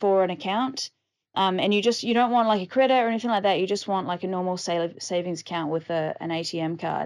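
With a New Zealand accent, a woman speaks at a fairly quick pace and a medium pitch with ordinary variation. The background is quiet. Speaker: podcast host, digital nomad. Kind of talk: casual solo podcast monologue.

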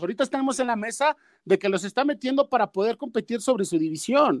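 The voice moves at a fairly quick pace with lively intonation. The sound is dry and close, with no echo. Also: man. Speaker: football analyst. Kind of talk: casual chat.

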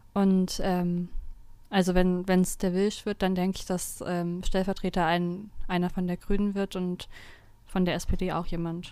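A woman with a medium pitch and a dark, mellow tone talks at a fairly slow pace in a flat monotone, on a very clean recording with a silent background. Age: 20s. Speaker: law student, district councillor. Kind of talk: casual chat.

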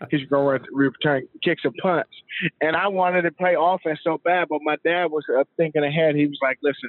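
A man with an American accent has a plain, everyday voice, a fairly high pitch, fairly even intonation and a moderate pace. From US Mid-Atlantic, Montgomery County, Maryland. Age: 40s. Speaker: former NFL player and company CEO. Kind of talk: interview. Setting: studio.

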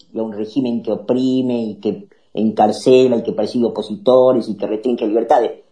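A man's dark, mellow, medium-pitched voice with a Rioplatense accent. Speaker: political talk show host. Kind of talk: political commentary. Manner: animated.

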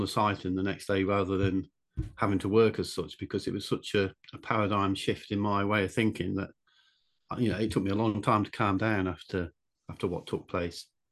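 A man with an English accent speaks at a fairly quick pace and fairly low pitch. His intonation is monotone and flat against a quiet background. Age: 60s. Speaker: author and draftsman. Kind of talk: casual interview.

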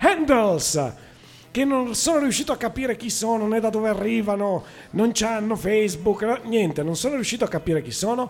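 A man's high voice at a moderate pace. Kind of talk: radio dj patter. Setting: live radio show from a blues club. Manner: chatty, loud and enthusiastic, with casual asides.

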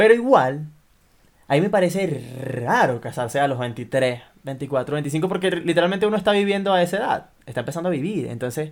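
Here is a man with a plain, everyday voice and a fairly high pitch. He talks at a fairly quick pace with lively intonation. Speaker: podcast co-host. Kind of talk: casual chat.

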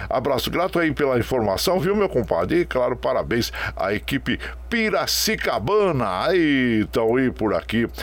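A man talks at a moderate pace. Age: 60s. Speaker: radio host. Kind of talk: radio show, casual greetings to listeners. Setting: remote broadcast from home web radio. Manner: warm, folksy.

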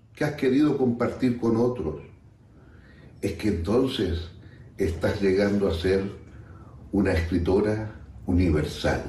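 Somewhat breathy man's voice with audible room echo. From Chile. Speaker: friend sending a recorded message. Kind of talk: recorded tribute.

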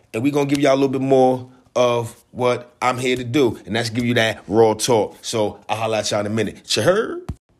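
A man's medium-pitched voice, fairly quick and with hardly any pauses, in fairly even intonation. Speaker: podcast host. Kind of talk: casual monologue. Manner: laid-back.

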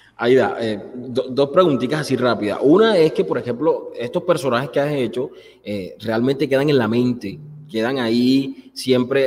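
A man uses an ordinary speaking voice at medium pitch. He goes at a fairly quick pace with ordinary pitch variation. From Colombian Caribbean coast. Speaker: show host. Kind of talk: interview. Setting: studio.

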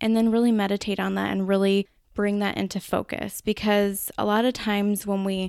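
In a Minnesotan accent, a woman talks at a fairly quick pace and medium pitch, recorded very cleanly against a silent background with a dry, close sound and no echo. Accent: Minnesota. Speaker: podcast host. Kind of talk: solo podcast talk. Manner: casual, conversational.

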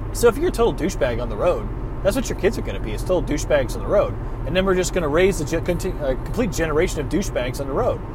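Very fast male speech amid noticeable background noise and audible room echo. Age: 30s. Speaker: podcast host. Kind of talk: solo rant monologue. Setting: in a car.

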